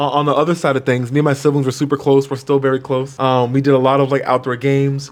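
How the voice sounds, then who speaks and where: A man with an American accent speaks at a very fast pace, with hardly any pauses and very even loudness. His fairly high pitch stays monotone and flat over noticeable background noise. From US Mid-Atlantic, Maryland. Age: 20s. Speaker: content creator. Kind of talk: casual Q&A vlog. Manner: casual, halting.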